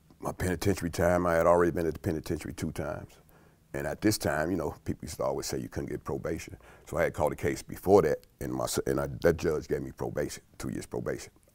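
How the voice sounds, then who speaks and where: A man talks very fast, with a quiet background behind him. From South Side of Chicago. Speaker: food company employee. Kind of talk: interview answer. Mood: calm, reflective life story. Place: studio. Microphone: lapel.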